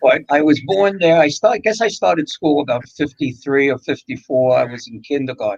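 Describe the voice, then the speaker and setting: A man with a New York accent talks at a fairly quick pace in a fairly high voice, with lively intonation, hardly any pauses, and a dry, close sound with no echo. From New York, the Bronx. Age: 70s. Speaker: radio co-host. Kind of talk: casual chat.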